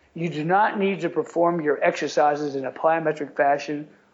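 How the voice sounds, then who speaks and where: High-pitched and with ordinary pitch variation, a man speaks. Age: 60s. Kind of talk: podcast interview.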